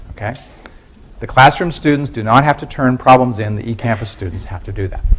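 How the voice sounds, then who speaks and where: A man talks at a fairly quick pace with a medium pitch and ordinary pitch variation. Noticeable background noise and audible room echo fill the recording. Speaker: university professor. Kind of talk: lecture. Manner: fast.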